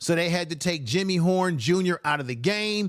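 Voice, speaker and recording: A high-pitched man's voice, animated in tone with ordinary pitch variation, in a very clean recording with a silent background. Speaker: sports commentary channel host. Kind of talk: solo sports analysis video.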